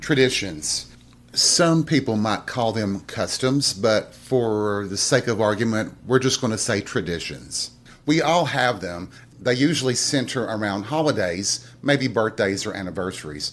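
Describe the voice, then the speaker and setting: In a very clean recording with a silent background, a man with an American accent speaks fairly slowly at a medium pitch with lively intonation in an unremarkable speaking voice. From Southern US. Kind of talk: podcast monologue. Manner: casual, reflective.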